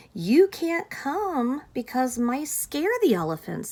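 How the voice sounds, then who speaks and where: A woman's high, put-on character voice with very wide pitch swings at a fairly slow pace. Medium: read story.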